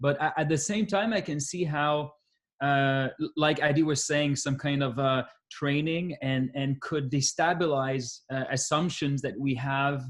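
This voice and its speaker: A man speaks at a fairly high pitch with fairly even intonation and a somewhat breathy quality. The recording is very clean, with a silent background. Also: fairly slow pace. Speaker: academic discussant. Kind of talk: academic Q&A discussion. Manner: halting, many repetitions.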